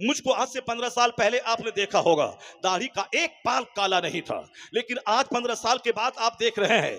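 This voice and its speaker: Over noticeable background noise, a man speaks at an extremely high pitch and moderate pace with ordinary pitch variation, the sound dry and close with no echo. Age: 50s. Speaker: Islamic cleric. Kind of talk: sermon.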